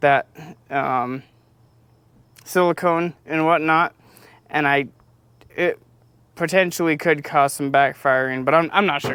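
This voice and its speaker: A man with a fairly high pitch and a bright, sharp tone speaks at a fairly slow pace with fairly even intonation and long, frequent pauses. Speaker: car restoration youtuber. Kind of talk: casual vlog talk. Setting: outdoors. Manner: halting, many fillers.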